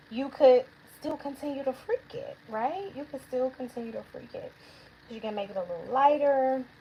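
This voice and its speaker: A woman's high voice at a moderate pace, with ordinary pitch variation, big swings in loudness and noticeable background noise. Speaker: nail technician and educator. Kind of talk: livestream tutorial. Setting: livestream. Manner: animated.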